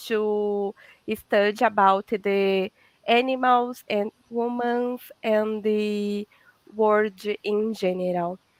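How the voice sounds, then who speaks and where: A woman with a strong Brazilian accent speaks at a very slow pace in a monotone, flat intonation, the very clean recording dry and close with no echo and a silent background. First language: Portuguese. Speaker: veterinarian and holistic therapist. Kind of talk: casual interview chat. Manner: halting, searching for English words.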